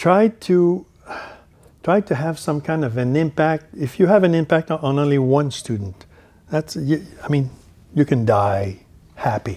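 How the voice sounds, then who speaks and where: A man's fairly high, dark, mellow voice in a Quebec accent, with lively intonation at a fairly slow pace and long, frequent pauses. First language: French. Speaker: university dean, professor. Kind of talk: conference talk. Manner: halting, many repetitions.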